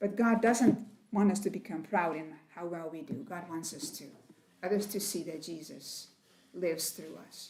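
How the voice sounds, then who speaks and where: Audible room echo surrounds a woman speaking at a moderate pace. Her voice is somewhat breathy and dark and mellow, with lively intonation. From Netherlands, Rotterdam. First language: Dutch. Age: 70s. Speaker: missionary. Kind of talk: testimony. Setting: women's meeting at church.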